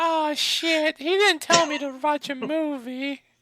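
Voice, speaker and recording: A put-on character voice pitched high. It moves at a fairly slow pace. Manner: silly.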